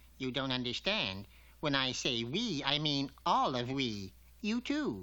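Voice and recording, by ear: A man puts on a cartoonish character voice at medium pitch. He speaks fairly slowly, with lively intonation.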